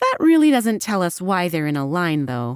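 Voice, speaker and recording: This is a put-on character voice that sounds female. It sits at a medium pitch for a woman. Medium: read story. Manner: brisk, businesslike.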